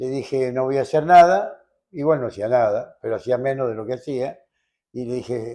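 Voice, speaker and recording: A man with a Rioplatense accent speaks at a fairly slow pace in a dark, mellow tone. His pitch varies ordinarily, and the background is quiet. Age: 80s+. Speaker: lawyer. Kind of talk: interview answer.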